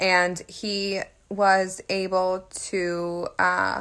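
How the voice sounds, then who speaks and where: A woman's bright, sharp tone at medium pitch, with monotone, flat intonation. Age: 20s. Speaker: fitness vlogger. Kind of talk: personal vlog storytelling. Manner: casual with frequent fillers.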